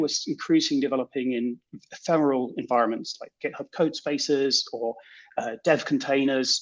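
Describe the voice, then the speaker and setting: This man talks at a fairly quick pace. He has a British accent. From Britain. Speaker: software developer. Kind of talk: conference talk.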